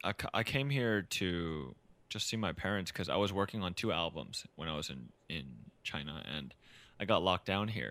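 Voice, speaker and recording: A man talks with a very deep, low pitch, a bright, sharp tone and some vocal fry. His intonation is lively and his pace moderate. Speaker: singer-songwriter. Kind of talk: casual interview chat. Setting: recorded remotely in quarantine, home.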